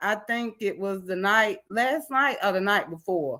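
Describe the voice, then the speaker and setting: Speaking at a very slow pace, a woman lets her pitch vary in an ordinary way. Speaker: panel guest. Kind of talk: casual chat.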